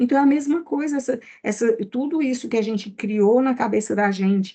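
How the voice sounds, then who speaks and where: This woman's voice is somewhat breathy, with lively intonation. She speaks at a fairly slow pace. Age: 60s. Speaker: therapist. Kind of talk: casual chat.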